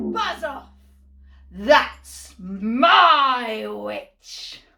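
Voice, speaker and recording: A woman puts on a character voice that is growling, shrill and croaky. Her pitch sits high. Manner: aggressive, shouting.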